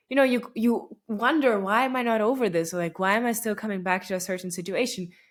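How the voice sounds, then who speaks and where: Over a silent background on a very clean recording, a woman with a Russian accent talks at a very fast pace, her voice fairly high with ordinary pitch variation. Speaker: podcast host. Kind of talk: casual monologue. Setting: recording at home late at night. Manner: conversational with many fillers.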